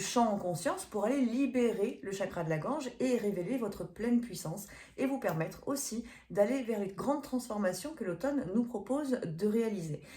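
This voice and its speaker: A woman with a fairly high voice talks at a moderate speed, her pitch varying in an ordinary way, amid noticeable background noise. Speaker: medium and energy healer. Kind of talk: event promotion; tarot reading video. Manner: hesitant, many fillers.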